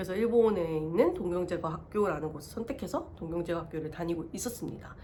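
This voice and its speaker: Over noticeable background noise, a woman talks at a very fast pace with hardly any pauses, her fairly low voice showing ordinary pitch variation. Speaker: vlogger. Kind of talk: personal testimony. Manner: halting.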